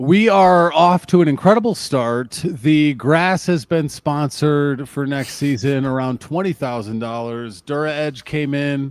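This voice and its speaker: A man with an American accent and a plain, everyday voice speaks at a fairly slow pace with hardly any pauses. His pitch is fairly high, with ordinary variation. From Lake Tahoe area, US West. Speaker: wrestling podcast co-host. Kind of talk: casual chat; show outro.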